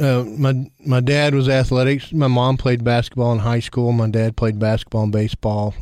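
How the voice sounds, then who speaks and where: In a Tennessee accent, the voice has a dark, mellow tone and fairly even intonation. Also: man. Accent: Tennessee Southern US. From Tennessee, Cookeville. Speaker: school district director. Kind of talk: casual interview.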